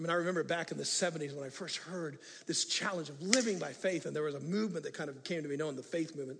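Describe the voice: A man speaks at a fast pace, with a fairly high pitch. His tone is fairly bright, with vocal fry. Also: ordinary pitch variation.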